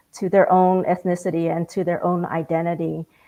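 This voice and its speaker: A woman speaks with a Vietnamese accent. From Vietnamese family, grew up speaking Vietnamese at home. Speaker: community panelist. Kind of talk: panel discussion.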